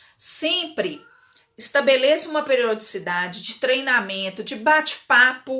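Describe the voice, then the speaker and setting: The speaker has a strong northern Minas Gerais accent and lively intonation. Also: woman. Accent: strong mineiro accent from northern Minas. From northern Minas Gerais, Brazil (Bocaiúva). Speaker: legal management consultant. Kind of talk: live webinar talk. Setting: online live stream. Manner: casual, with many fillers and repetitions.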